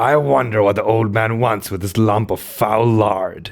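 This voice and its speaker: The speaker puts on a character voice and keeps to a moderate speed. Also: man, medium pitch for a man. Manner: put-on character voice.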